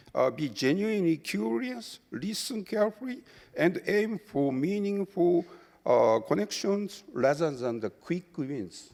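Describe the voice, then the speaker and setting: Speaking fairly slowly in a Japanese accent, a man uses a high pitch with very wide swings. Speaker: business delegation leader. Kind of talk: panel discussion. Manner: halting.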